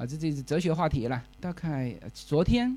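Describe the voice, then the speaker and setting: Speaking at a moderate pace, a man with a Fuzhou accent uses a fairly high pitch. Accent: Fuzhou-accented Mandarin. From Fujian, China. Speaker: podcast host. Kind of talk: live talk to listeners. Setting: stage with audience. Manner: casual, filler-heavy.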